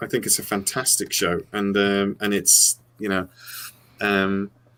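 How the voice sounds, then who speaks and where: With an American accent, a man speaks at a fairly low pitch in a bright, sharp tone. He goes at a fairly slow pace on a very clean recording with a silent background. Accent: English accent with slight American twangs. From England. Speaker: sci-fi channel host. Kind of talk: casual chat. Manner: halting, many fillers and repeats.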